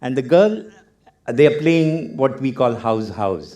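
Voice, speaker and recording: A man with a Keralan accent speaks at medium pitch and a fairly slow pace. His tone is dark and mellow, with very wide pitch swings. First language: Malayalam. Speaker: author, photographer and arts professor giving a talk. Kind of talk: TEDx talk.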